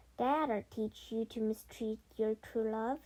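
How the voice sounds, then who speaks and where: A woman's put-on, squeaky character voice, pitched fairly high, at a fairly slow pace. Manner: scolding.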